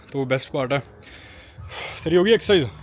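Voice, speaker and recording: This man speaks with a Punjabi accent. His pitch is fairly high. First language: Punjabi (speaking Hindi). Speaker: travel and fitness vlogger. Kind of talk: casual vlog talk to camera.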